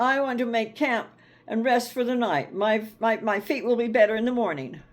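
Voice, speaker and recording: The woman's pitch is fairly high. She speaks in a put-on character voice. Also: moderate pace, ordinary pitch variation. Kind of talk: bedtime story. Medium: read story. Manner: stubborn, muttering.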